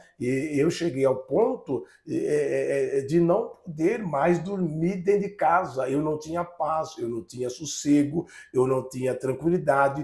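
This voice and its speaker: Here a man speaks at a very slow pace. His fairly high pitch shows ordinary variation. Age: 60s. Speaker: pastor. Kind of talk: testimony. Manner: halting, repeats words.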